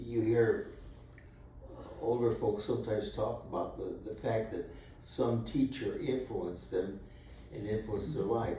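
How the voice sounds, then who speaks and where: A man with a Midwestern accent speaks at a fairly slow pace. He takes long, frequent pauses. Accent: American Midwest. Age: 80s+. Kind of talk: interview answer. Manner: hesitant, slow.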